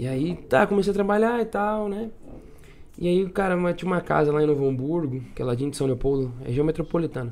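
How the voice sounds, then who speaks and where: An ordinary speaking voice belongs to this man, pitched fairly high. He talks at a fairly quick pace with lively intonation. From southern Brazil (Rio Grande do Sul). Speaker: singer-songwriter. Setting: studio, drinking with hosts.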